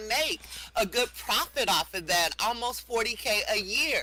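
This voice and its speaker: Over music in the background, a man with a high pitch and a raised, projected voice speaks at a fairly slow pace with ordinary pitch variation. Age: 60s. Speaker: teacher and craft seller. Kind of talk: casual chat. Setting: online talk show in a virtual world.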